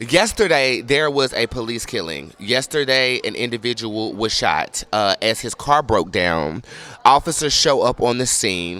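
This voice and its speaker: A man at medium pitch, lively in intonation and fairly slow in pace, over noticeable background noise. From North Carolina (Charlotte). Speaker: vlogger. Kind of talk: casual monologue.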